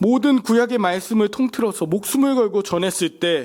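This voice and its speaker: A man is speaking. His pace is moderate. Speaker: pastor. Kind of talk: sermon. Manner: animated.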